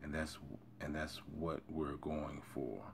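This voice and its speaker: A soft-spoken man with a very deep, low pitch and monotone, flat intonation, with audible room echo. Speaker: self-help video creator. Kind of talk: reading aloud with commentary. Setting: early morning recording.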